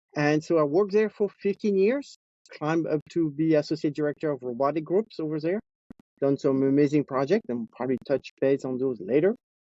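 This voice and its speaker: A man speaks at a fairly quick pace with a French accent. His pitch is fairly high, with ordinary variation. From France (Nice). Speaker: robotics engineering executive. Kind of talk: interview. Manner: hesitant, with many fillers.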